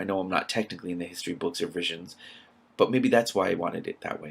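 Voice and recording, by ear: A man speaks at a fairly quick pace in a fairly bright tone. His voice has a husky, rough edge and vocal fry.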